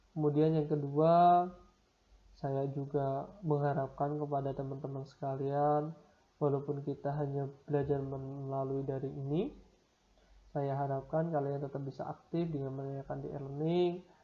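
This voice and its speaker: A man talks at a moderate pace in a fairly high pitch, with monotone, flat intonation. Audible room echo surrounds his voice. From Semarang, Central Java, Indonesia. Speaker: university lecturer. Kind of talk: lecture.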